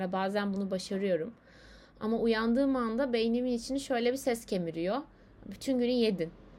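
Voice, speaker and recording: A woman speaks at a moderate pace in a fairly high pitch. Her pitch variation is ordinary. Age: 20s. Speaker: podcaster. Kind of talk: personal monologue. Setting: alone at home, late at night. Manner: hesitant, many fillers. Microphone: laptop microphone.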